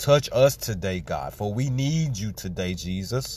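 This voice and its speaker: A man talks at a medium pitch, somewhat breathy, with lively intonation. The recording is very clean, with a silent background. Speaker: person praying. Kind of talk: fervent spoken prayer with scripture reading. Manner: fervent, pleading, repetitive, emphatic; rhythmic, punctuated by praise exclamations.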